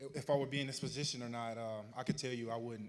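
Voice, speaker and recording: Speaking with an American accent, a man keeps a medium pitch, a moderate pace and fairly even intonation. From Arkansas, US South. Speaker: honoree telling his life story. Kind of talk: public speech, personal testimony.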